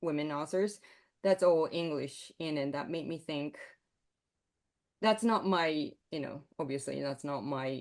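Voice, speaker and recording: A woman with a Japanese accent speaks fairly slowly in a very deep, low voice, with ordinary pitch variation and long, frequent pauses. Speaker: composer. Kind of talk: interview. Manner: halting.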